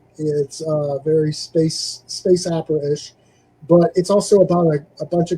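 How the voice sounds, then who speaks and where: A man's voice carries a dark, mellow tone. It sits fairly high in pitch. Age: 60s. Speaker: music magazine editor and podcast host. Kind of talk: casual chat.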